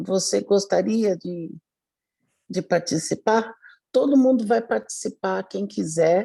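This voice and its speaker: Her pace is very slow, with long, frequent pauses and lively intonation. The woman's medium-pitched voice carries a dark, mellow tone. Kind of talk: casual chat. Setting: video call.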